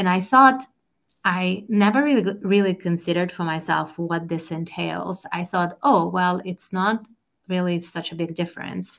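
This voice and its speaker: A woman speaks with a Russian accent at a fairly low pitch. Her pace is moderate and her pitch varies in an ordinary way. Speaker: life coach and entrepreneur, former professor. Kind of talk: interview. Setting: video call.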